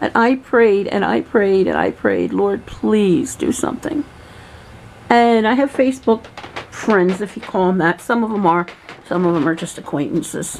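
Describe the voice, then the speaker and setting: Speaking with an American accent at a moderate pace, a woman uses a medium pitch and lively intonation over noticeable background noise. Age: 60s. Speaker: vlogger. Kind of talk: personal video diary. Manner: emotional.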